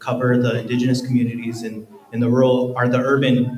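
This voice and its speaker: Over noticeable background noise, a man with an American accent speaks at a medium pitch and a fairly quick pace. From northeastern Montana. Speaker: photographer and reporter. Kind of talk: panel talk.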